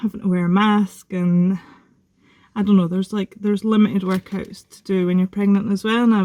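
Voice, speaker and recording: In a Scottish accent, a woman speaks with a dark, mellow tone and big swings in loudness, in a dry, close sound with no echo. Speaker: vlogger. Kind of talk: casual vlog update. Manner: fast; excited.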